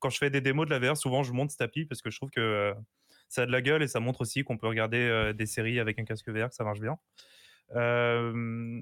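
Against a very clean recording with a silent background, a man talks in a plain, everyday voice at medium pitch, fairly quickly and with fairly even intonation. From Portuguese heritage. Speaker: guest panelist. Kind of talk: casual chat.

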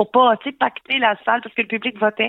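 At a fairly quick pace, a woman speaks at a fairly high pitch in a plain, everyday voice. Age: 40s. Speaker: comedian. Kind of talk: casual chat.

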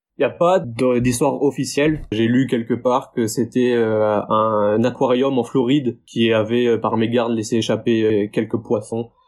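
A normal speaking voice at a fairly slow pace, with hardly any pauses, fairly even intonation and very even loudness. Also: man, medium pitch for a man. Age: 20s. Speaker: diving instructor. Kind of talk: interview.

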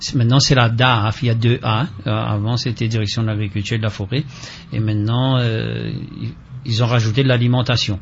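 In a plain, everyday voice, a man talks at a moderate pace and medium pitch with fairly even intonation. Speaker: farmers' association representative. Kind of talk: radio interview.

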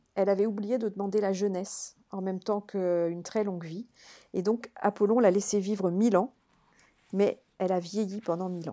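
Dark and mellow in tone, a woman's medium-pitched voice stays monotone and flat. She keeps a moderate pace on a very clean recording with a silent background. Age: 50s. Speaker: author and classics lecturer. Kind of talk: podcast interview.

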